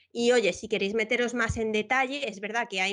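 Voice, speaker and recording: A woman's fairly high pitch with ordinary pitch variation, over a quiet background. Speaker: educator and Minecraft content creator. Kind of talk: tutorial workshop. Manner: fast; animated.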